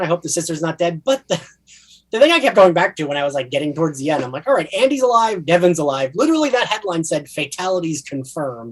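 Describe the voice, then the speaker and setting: A high-pitched man with a New Jersey accent at a very fast pace, with very wide pitch swings. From New Jersey (south). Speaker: podcast co-host. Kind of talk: casual chat.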